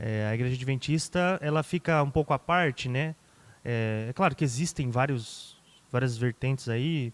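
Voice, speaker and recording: A man's medium-pitched voice with ordinary pitch variation, dry and close with no echo, on a very clean recording against a silent background. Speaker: pastor. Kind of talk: podcast interview. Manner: fast.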